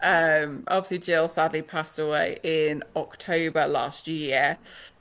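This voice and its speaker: In a British accent, a woman speaks at a fairly slow pace with a very deep, low pitch, fairly even intonation and very even loudness, on a very clean recording with a silent background. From Britain. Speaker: author. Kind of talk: interview. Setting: podcast interview.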